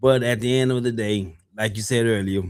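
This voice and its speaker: In a very clean recording with a silent background, a man of medium pitch uses a normal speaking voice, a moderate pace and fairly even intonation. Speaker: podcast host. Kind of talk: casual chat.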